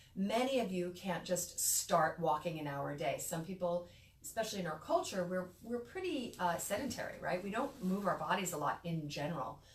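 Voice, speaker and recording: With an American accent, a woman speaks at a moderate pace with hardly any pauses, using lively intonation and a fairly low pitch, over noticeable background noise and audible room echo. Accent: New York, noticeable lately. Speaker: midwife. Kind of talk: educational talk. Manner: casual, conversational.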